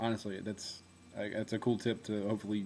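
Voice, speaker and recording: Fairly low in pitch, the man's voice moves at a fairly quick clip. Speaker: former reality show contestant and pro wrestler. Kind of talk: video diary monologue. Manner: casual, animated storytelling.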